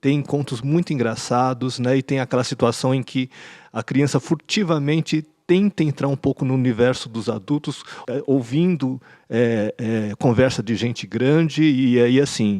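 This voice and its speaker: A man talks at a fairly slow pace with a dark, mellow tone, medium pitch and ordinary pitch variation. The sound is dry and close with no echo, over a quiet background. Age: 60s. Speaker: podcast panelist, educator. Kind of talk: panel discussion. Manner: halting, with frequent repetitions.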